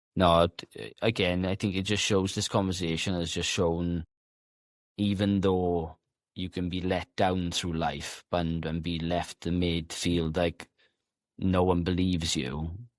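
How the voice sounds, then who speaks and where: A man mumbles at a fairly slow pace in a very deep, low pitch with monotone, flat intonation and a dry, close sound with no echo. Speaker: podcast host. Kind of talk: casual interview conversation. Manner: stutters sometimes; unscripted, occasionally mumbling.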